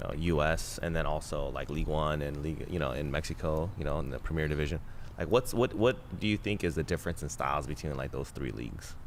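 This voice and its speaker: Talking at a very fast pace, a man has a very deep, low pitch. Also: ordinary pitch variation, hardly any pauses. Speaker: podcast host. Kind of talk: podcast interview questions. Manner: casual.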